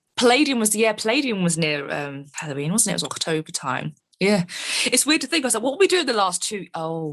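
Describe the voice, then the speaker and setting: Someone speaks at a very fast pace in a London accent. The pitch swings very widely. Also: woman, medium pitch for a woman. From England, London. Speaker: metal band keyboardist and vocalist. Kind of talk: interview.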